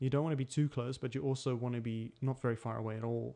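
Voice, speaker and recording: A man with a slight non-native accent, very fast and monotone, his medium-pitched voice dark and mellow. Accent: slight non-American, non-English. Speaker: tutorial maker. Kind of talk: tutorial. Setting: home desk recording setup.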